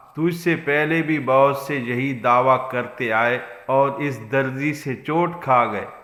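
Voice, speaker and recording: A man speaks at a fairly high pitch with ordinary pitch variation. Noticeable background noise runs behind him. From Pakistan. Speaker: voice over artist. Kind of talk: moral story narration.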